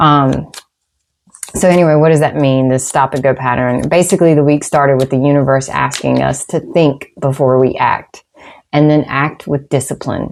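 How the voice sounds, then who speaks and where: With a Southern US accent, a woman speaks in a very deep, low pitch, keeping very even loudness and fairly even intonation. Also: moderate pace. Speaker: tarot reader. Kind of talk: tarot and astrology reading. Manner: casual, with many fillers.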